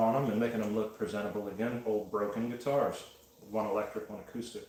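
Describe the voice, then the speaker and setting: Monotone, flat intonation moves at a fairly quick pace amid noticeable background noise and audible room echo. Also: man. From Wyoming. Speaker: pottery livestreamer. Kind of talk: casual chat.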